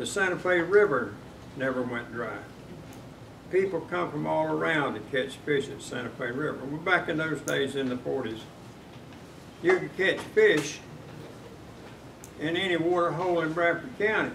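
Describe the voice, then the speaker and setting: With a Southern US accent, a man talks at a moderate pace in a fairly high pitch, his intonation lively and broken by long, frequent pauses. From north Florida. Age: 80s+. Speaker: retired meat business worker. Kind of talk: public comment at county meeting.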